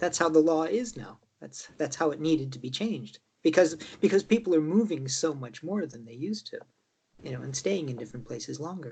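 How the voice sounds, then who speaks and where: Lively intonation and big swings in loudness mark a man speaking at a fairly quick pace and a fairly high pitch. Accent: American. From raised mostly in Chicago, partly Mayo, Ireland. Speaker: political candidate. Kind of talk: interview. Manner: halting, repeats words.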